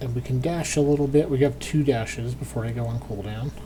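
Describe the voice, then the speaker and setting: Noticeable background noise beneath fairly quick talking. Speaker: gaming youtuber. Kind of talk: let's play commentary. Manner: casual, thinking aloud.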